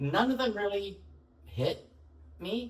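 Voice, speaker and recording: A man with an American accent amid noticeable background noise. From Chicago, US Midwest. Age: 70s. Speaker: leather community activist and writer. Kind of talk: interview.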